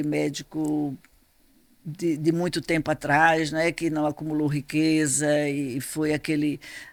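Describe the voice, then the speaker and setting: Captured in a very clean recording with a silent background, a woman talks with a very deep, low pitch. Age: 80s+. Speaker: author. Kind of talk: interview. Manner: halting.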